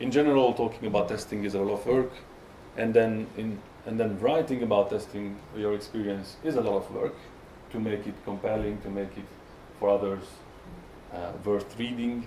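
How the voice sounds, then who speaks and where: In an echoey room, a man with a Hungarian accent speaks with a fairly low pitch, fairly even intonation and long, frequent pauses. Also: moderate pace. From Hungary. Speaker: software tester. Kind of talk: conference talk. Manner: halting, many fillers and repetitions.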